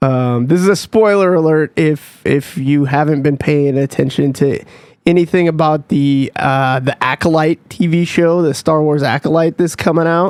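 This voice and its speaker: In a normal speaking voice, a man with an American accent talks at a fairly slow pace with fairly high pitch and fairly even intonation, captured in a dry, close sound with no echo. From United States. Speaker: podcast co-host, military veteran. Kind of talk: casual chat.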